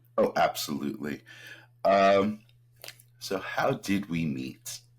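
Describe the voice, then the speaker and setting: Speaking very slowly, a man with an American accent has a fairly low pitch. His intonation is lively, and vocal fry runs through his voice. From New Jersey, near New York City. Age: 40s. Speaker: podcast co-host. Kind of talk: casual chat.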